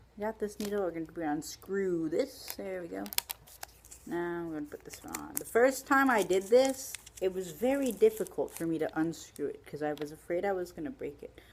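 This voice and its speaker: A woman's unremarkable speaking voice, medium in pitch and moderate in pace, with lively intonation and big swings in loudness. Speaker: video blogger. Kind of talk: tutorial. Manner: casual, with fillers.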